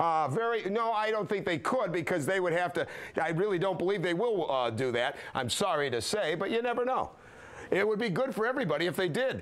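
A man's high-pitched voice, fairly quick in pace, with very wide pitch swings. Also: very even loudness. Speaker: radio call-in show host. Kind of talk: radio call-in show talk. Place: studio. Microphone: lapel.

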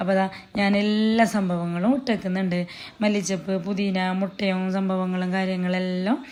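Against noticeable background noise, a woman with a northern Kerala accent speaks at medium pitch with fairly even intonation. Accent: Kasaragod Malayalam dialect. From Kerala, Kasaragod. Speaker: cooking and family vlogger. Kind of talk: casual vlog narration.

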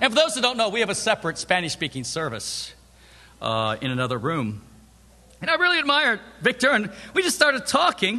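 A man's raised, projected voice rushes at a very fast pace with very wide pitch swings, broken by long, frequent pauses. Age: 50s. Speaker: preacher. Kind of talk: sermon. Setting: church.

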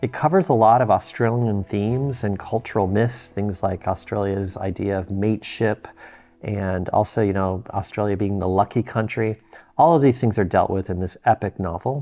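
Faint music plays in the background as a man speaks at a moderate pace in a fairly low voice with ordinary pitch variation. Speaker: book collector reviewer. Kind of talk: casual vlog chat. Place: home room.

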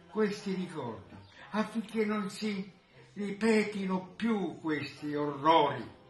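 Light background noise and audible room echo surround a man talking at a very slow pace. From Italy. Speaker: war witness. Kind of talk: video greeting address. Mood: solemn, earnest. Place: home room. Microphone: phone near.

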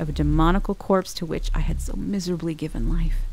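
A woman at a fairly quick pace over background music. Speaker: voice actor. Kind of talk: audiobook narration.

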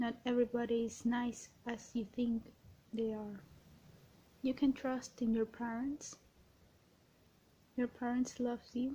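Soft-spoken and gentle in tone, a woman talks at a fairly slow pace in a high pitch with a dark, mellow tone, monotone, flat intonation, and long, frequent pauses. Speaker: ASMR creator. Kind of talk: ASMR positive affirmations, personal attention. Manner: soft-spoken, gentle. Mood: gentle, reassuring. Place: home room. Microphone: webcam.

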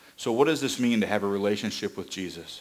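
A man is talking. His voice sits fairly low. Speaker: preacher. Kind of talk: sermon. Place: church.

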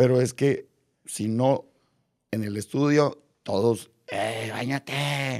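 A man's very slow delivery with fairly even intonation against a quiet background. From Mexico. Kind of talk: casual interview. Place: studio. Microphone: studio mic.

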